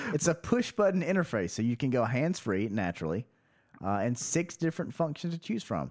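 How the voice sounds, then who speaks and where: A man with an American accent, very wide pitch swings, and a fairly quick pace. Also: medium pitch for a man. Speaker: podcast host. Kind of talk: casual comedic chat.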